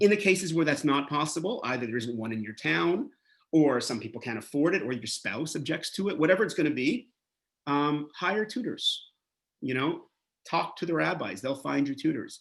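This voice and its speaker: With a Canadian accent, a man talks at a moderate pace in a fairly high pitch. His intonation is lively, and there is vocal fry in his voice. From Canada, Montreal. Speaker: rabbi and educator. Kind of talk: lecture. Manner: animated.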